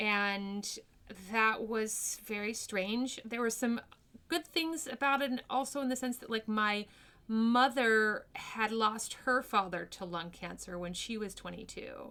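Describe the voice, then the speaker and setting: A woman with an American accent talks at a fairly slow pace in a fairly high, bright, sharp tone, with ordinary pitch variation. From New Mexico, US. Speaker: actress. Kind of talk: podcast interview.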